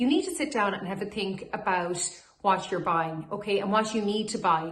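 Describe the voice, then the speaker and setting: Over noticeable background noise, a woman talks at a moderate pace with a medium pitch. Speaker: auctioneer / estate agent. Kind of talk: corporate social media advice video to camera. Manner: friendly, professional.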